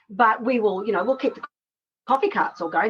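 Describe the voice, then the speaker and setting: A woman's unremarkable speaking voice at a fairly high pitch, with ordinary pitch variation. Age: 60s. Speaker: social enterprise co-founder. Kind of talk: casual interview chat.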